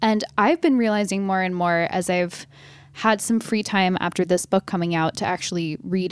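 A woman talks in a normal speaking voice at medium pitch, with ordinary pitch variation. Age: 20s. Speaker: newspaper columnist and author. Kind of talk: interview. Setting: video call from an office conference room.

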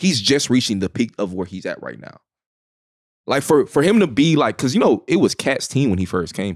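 A man with an American accent speaks at a fairly quick pace and a medium pitch, with vocal fry, very wide pitch swings and big swings in loudness. The recording is very clean, with a silent background. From Dallas, Texas (South Oak Cliff). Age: 20s. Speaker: private chef. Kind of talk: casual chat. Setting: studio.

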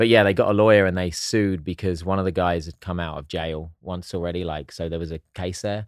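Over a silent background in a very clean recording, a man with an English accent and a very deep, low pitch talks at a fairly quick pace, his intonation fairly even and hardly any pauses. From southern England (East Sussex). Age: 40s. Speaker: actor and entrepreneur. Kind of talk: casual chat.

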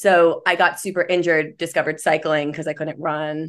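Against a quiet background, a woman speaks in a normal speaking voice. Her pitch is fairly low and her intonation fairly even. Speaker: dietitian. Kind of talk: interview.

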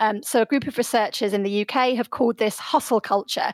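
Speaking at a very fast pace in a British accent, a woman with a high pitch shows ordinary pitch variation in a dry, close sound with no echo. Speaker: sociologist. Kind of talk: radio interview. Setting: remote studio link.

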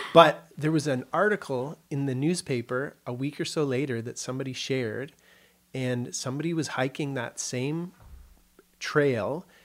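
In a Canadian accent, a man speaks at a moderate pace with a fairly high pitch. He has an unremarkable speaking voice with ordinary pitch variation. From Canada (Kitchener, Ontario). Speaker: psychedelic addiction treatment specialist. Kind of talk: interview conversation.

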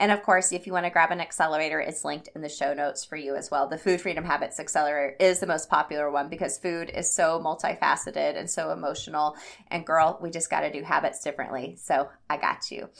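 A woman at a very fast pace, very deep and low in pitch, with vocal fry and an enthusiastic tone, in a very clean recording with a silent background. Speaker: health habits coach and podcast host. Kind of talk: solo podcast monologue.

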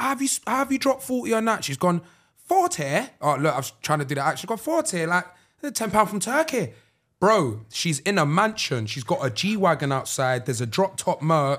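A man speaks with a London accent at a high pitch. His pitch swings very widely, and the recording is very clean with a silent background. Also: moderate pace. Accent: London Multicultural English. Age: 20s. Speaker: podcast co-host. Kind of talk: casual chat. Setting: studio.

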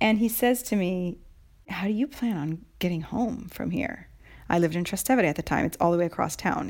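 On a very clean recording with a silent background, a woman with an American accent speaks at a fairly quick pace in a fairly low pitch, with vocal fry and lively intonation. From United States. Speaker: podcast co-host and writer. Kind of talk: casual chat.

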